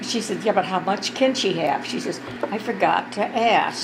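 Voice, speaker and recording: A woman speaks with ordinary pitch variation against noticeable background noise. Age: 80s+. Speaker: nursing home resident. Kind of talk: casual family storytelling. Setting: birthday party, family gathering.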